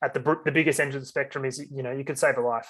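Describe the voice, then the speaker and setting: The voice carries an Australian accent and a monotone, flat intonation. The recording is very clean with a silent background. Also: man. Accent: general Australian. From Australia, Sydney (North Shore, northern beaches). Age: 20s. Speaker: mental health advocate. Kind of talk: interview. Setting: podcast. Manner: casual, halting with fillers.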